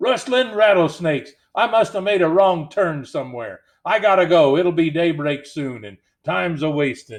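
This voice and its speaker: In a put-on character voice, a man speaks gruffly at a moderate pace, his pitch high and his intonation lively, over a quiet background. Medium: read story. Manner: drawling Western slang.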